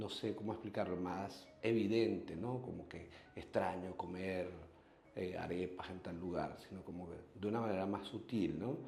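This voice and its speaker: A man's very deep, low voice at a moderate pace, fairly even in intonation, with audible room echo. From Venezuela. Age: 40s. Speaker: human rights activist. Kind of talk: interview testimony. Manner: halting, many repetitions and fillers.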